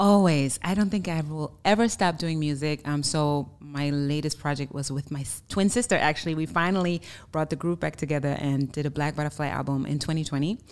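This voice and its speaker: A woman's very deep, low voice with a German accent, at a fairly quick pace with hardly any pauses and ordinary pitch variation, on a very clean recording with a silent background. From Germany. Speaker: singer-songwriter. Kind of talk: casual interview chat.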